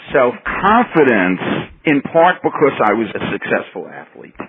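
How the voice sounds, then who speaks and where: With a New York accent, a man talks at a moderate pace with lively intonation over noticeable background noise. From New York City. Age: 70s. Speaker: professor. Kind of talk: interview.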